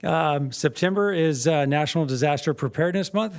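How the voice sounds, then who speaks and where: Fairly high-pitched male voice at a fairly quick pace, very clean recording with a silent background. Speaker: fire department chief. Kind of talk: public meeting report. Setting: city council meeting. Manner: fast; hesitant, many fillers.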